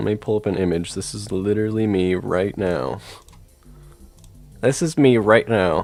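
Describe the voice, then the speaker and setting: Over music in the background, a man with a fairly low pitch talks with long, frequent pauses. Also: ordinary pitch variation, moderate pace. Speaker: gaming streamer. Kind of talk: live stream chat. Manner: animated; loud.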